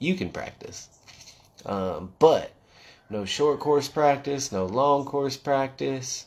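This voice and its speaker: A man speaks at a fairly high pitch. He has an American accent. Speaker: quad racer and livestream host. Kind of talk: casual livestream chat. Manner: loud.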